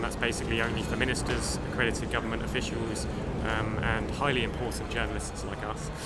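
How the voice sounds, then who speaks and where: A man talks at a fairly quick pace. There is audible room echo and music in the background. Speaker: podcast host. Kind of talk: casual chat. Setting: exhibition hall at climate summit.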